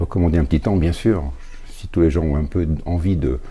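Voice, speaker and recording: Over noticeable background noise, a man talks at a fairly quick pace in a very deep, low pitch. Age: 70s. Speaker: retired volunteer handyman. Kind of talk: interview testimony.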